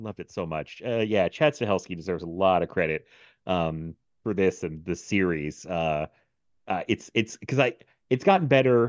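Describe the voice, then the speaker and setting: The intonation is lively at a moderate pace. The sound is dry and close with no echo over a quiet background. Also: man, very deep, low pitch for a man. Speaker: podcast host. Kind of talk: casual chat. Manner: laughs often.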